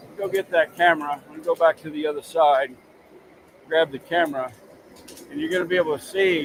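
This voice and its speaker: A man with a fairly high pitch talks at a fairly quick pace with fairly even intonation and long, frequent pauses over noticeable background noise. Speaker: livestream host. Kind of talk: live cooking stream. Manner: loud.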